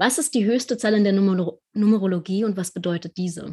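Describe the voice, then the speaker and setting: A woman speaks with a somewhat breathy voice and ordinary pitch variation. The recording is very clean, with a silent background. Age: 20s. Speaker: podcast host, tarot reader. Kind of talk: interview.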